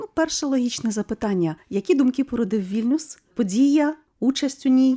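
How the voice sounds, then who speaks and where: This woman's high voice has a dark, mellow tone and lively intonation, delivered at a moderate pace. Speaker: radio host. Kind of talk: radio interview.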